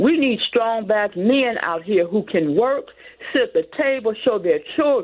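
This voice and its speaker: At a fairly slow pace, a woman with an American accent speaks in a fairly high pitch, her voice making very wide pitch swings. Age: 60s. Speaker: caller. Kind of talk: call-in comment. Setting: phone call.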